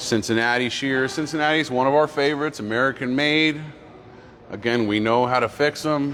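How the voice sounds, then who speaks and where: A man speaking at a fairly quick pace with very even loudness and fairly even intonation, over noticeable background noise. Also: medium pitch for a man. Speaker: machinery dealer staff giving a showroom tour. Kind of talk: live-streamed walkthrough tour.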